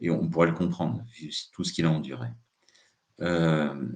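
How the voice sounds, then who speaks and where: Vocal fry runs through this man's very deep, low voice. He keeps a moderate pace with ordinary pitch variation. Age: 60s. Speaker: psychotherapist giving a talk. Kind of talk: live talk. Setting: live stream. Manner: hesitant, many filler sounds.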